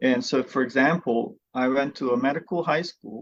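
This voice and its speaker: A man speaks at a moderate pace with a Bosnian accent. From Bosnia, Sarajevo. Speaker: physical therapy professor. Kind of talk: podcast interview.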